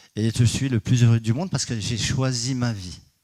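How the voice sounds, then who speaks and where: A man's medium-pitched voice at a moderate pace. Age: 60s. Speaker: energy healer and geobiologist. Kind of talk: conference talk. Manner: hesitant, many fillers.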